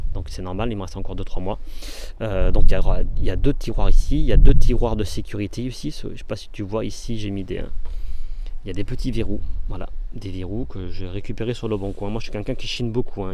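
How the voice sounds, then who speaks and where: A man at a very fast pace, big swings in loudness, audible room echo and noticeable background noise. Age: 40s. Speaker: vanlife vlogger. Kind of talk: casual video tour. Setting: outdoors. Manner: hesitant, many fillers.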